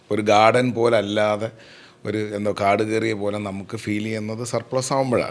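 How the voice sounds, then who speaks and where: The speaker is a man. His pitch sits fairly low. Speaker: podcast host, chef. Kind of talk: casual conversation.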